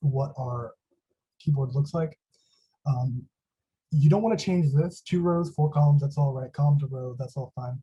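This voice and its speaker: A quiet, somewhat breathy man's voice, fairly high in pitch, with a dark, mellow tone, ordinary pitch variation, a moderate pace and long, frequent pauses. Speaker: student workshop instructor. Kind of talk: tutorial. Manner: a little quiet. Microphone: quiet microphone.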